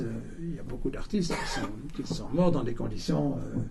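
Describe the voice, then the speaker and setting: Noticeable background noise and audible room echo surround a man whose fairly high voice moves in very wide pitch swings. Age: 70s. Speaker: lecturer, writer. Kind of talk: public talk and interview. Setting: bookshop event with audience. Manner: halting, many repetitions.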